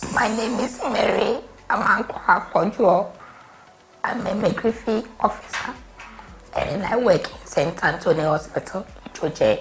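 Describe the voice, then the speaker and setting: Music plays behind a woman who speaks fairly slowly at a fairly high pitch, with ordinary pitch variation, big swings in loudness, and long, frequent pauses. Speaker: midwife. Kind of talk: testimony.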